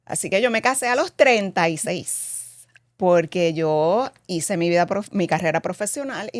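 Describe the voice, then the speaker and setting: A woman with an unremarkable speaking voice and a medium pitch talks at a moderate pace with lively intonation and hardly any pauses, the sound dry and close with no echo. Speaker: cosmetics company president, former actress. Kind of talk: interview.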